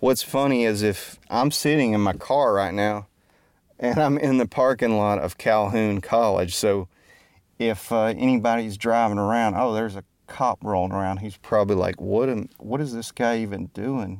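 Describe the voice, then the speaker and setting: On a very clean recording with a silent background, a man with an American accent talks at a moderate pace in a fairly low pitch, with ordinary pitch variation. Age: 40s. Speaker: musician and podcaster. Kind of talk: casual monologue. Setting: in a car.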